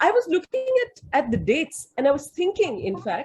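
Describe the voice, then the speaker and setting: This woman's voice is somewhat breathy. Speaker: academic in literature and history. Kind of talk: webinar question from audience. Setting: video call webinar. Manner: halting, many fillers and repetitions.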